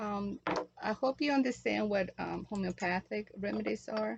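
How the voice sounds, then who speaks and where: A woman with a Spanish accent at a moderate pace. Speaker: natural remedies vlogger. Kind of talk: tutorial. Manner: halting.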